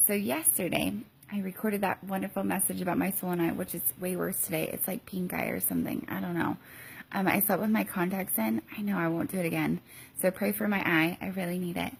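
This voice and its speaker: A quiet woman's voice at a very fast pace. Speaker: mom vlogger and teacher. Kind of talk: casual vlog. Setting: hotel room. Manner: halting with many ums.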